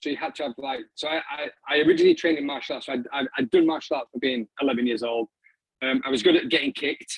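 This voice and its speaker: This man has a northern English accent. He speaks at a very fast pace. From northern England, Doncaster. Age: 40s. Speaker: filmmaker and arts practitioner. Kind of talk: talk to an online audience. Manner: halting, many fillers and repeats.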